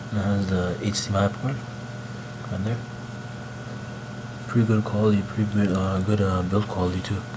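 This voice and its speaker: A man whispers at a fairly quick pace, with long, frequent pauses. There is audible room echo and noticeable background noise. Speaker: tech vlogger. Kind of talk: unboxing vlog. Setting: at home late at night. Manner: whispering; casual slangy.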